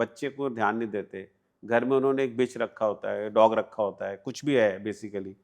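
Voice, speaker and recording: A man talks in a medium pitch with an ordinary speaking voice. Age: 60s. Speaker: private investigator. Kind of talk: interview.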